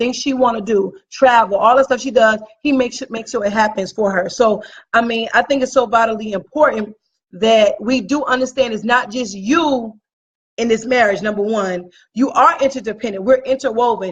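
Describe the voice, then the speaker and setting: The delivery is fairly quick and animated, with ordinary pitch variation. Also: woman, fairly high pitch for a woman. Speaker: podcast co-host. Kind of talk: casual chat. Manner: loud.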